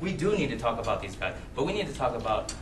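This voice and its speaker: Speaking at a fairly quick pace, a man has an American accent. Audible room echo and noticeable background noise surround him. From USA. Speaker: teacher giving a talk. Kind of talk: public talk. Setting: club meeting with audience. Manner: fast.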